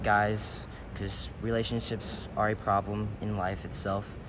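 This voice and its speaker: With an American accent, a man talks at a fairly slow pace in a fairly low, monotone voice with flat intonation, and audible room echo surrounds him. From US, Detroit and Baton Rouge, Louisiana. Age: young (18). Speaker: rapper and musician. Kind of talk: interview. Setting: indoors in a large building.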